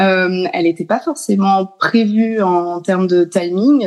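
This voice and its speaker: The speaker is a woman. Her intonation moves in an ordinary way. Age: 30s. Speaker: mother and speech therapy student. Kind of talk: interview. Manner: halting.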